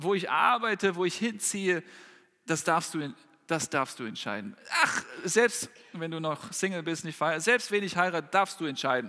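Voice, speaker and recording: This high-pitched man has lively intonation and a bright, sharp tone. He speaks at a moderate pace with long, frequent pauses. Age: 30s. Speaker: preacher. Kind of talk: sermon. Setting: church hall with congregation, livestreamed.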